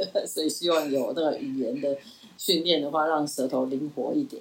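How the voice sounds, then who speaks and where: Fairly quick in pace, a woman speaks with a very deep, low pitch and ordinary pitch variation. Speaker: retired professor. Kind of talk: interview.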